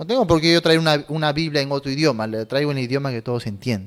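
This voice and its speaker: The speaker is a man talking at a very fast pace. His pitch varies in an ordinary way. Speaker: pastor. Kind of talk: sermon. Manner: hesitant, repeating words; effortful articulation.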